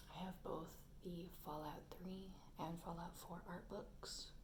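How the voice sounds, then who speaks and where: A soft-spoken woman talks at a very slow pace with fairly low pitch. Her intonation is monotone and flat. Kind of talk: ASMR soft-spoken rambling.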